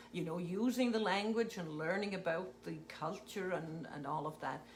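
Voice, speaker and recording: A woman with a Scottish accent speaks at a moderate pace and medium pitch, with ordinary pitch variation. Audible room echo and noticeable background noise are present. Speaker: retired teacher. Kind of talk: casual chat.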